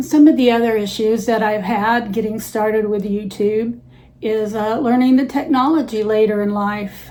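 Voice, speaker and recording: There is audible room echo as a woman with a fairly high pitch speaks at a moderate pace with fairly even intonation. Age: 70s. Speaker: senior YouTuber. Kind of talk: personal vlog talk to camera. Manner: hesitant, frequent uh fillers.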